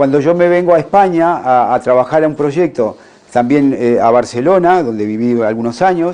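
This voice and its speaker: A fairly high male voice with a Uruguayan accent, a fairly quick pace and ordinary pitch variation, heard over noticeable background noise. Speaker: naturopath. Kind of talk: conference talk. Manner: halting.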